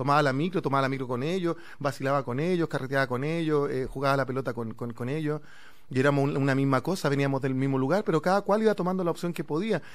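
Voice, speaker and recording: Against a quiet background, a man with a Chilean accent speaks very fast at a fairly high pitch, with ordinary pitch variation. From Chile, Santiago (Conchalí). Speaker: actor. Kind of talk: casual chat. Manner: halting. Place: studio. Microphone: studio mic.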